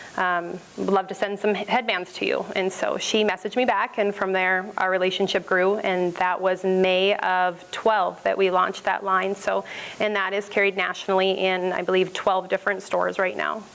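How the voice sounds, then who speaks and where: Over noticeable background noise, a woman talks at a moderate pace with hardly any pauses, a monotone, flat intonation and very even loudness. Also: medium pitch for a woman. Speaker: small business owner presenting. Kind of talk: business pitch presentation. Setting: stage with audience, microphone.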